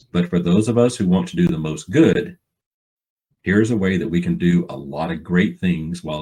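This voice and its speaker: A man's very deep, low voice in an Alabama accent, ordinary pitch variation, moderate pace. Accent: US Southern (Alabama). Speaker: financial planning speaker, author. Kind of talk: seminar talk. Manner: folksy, informal.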